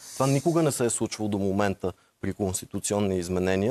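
Quiet surroundings and a man's very fast pace of speech. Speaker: lawyer and former member of parliament. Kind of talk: TV interview. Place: studio. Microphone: lapel.

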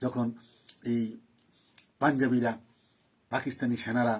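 This voice belongs to a man. Its pitch is medium. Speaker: political commentator. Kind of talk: live political monologue. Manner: animated.

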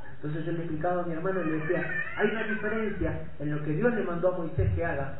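A man talks at a fairly quick pace with ordinary pitch variation, with noticeable background noise and audible room echo. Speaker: preacher. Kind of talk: sermon. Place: church.

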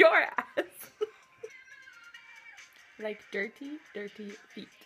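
A woman speaking at a very slow pace over faint music in the background. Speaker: whisper challenge player. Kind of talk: casual banter between friends during a drinking game. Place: home room. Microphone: phone near.

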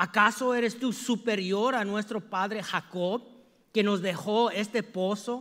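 A man speaks at a high pitch in a bright, sharp, animated tone. His pace is fairly slow, and the background is quiet. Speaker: preacher. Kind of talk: sermon. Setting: church. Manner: call-and-response.

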